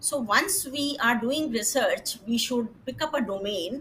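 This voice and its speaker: A woman speaks in a high voice with a Punjabi accent. Her pitch varies in an ordinary way. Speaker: retired government scientist, panelist. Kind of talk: panel discussion. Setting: webinar. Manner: hesitant, many fillers.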